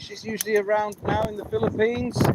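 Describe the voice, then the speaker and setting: Over noticeable background noise, a man talks in a high pitch at a moderate pace. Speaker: outdoor camping vlogger. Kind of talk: unscripted live stream. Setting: outdoors in a coppice. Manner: loud. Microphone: poor sound quality.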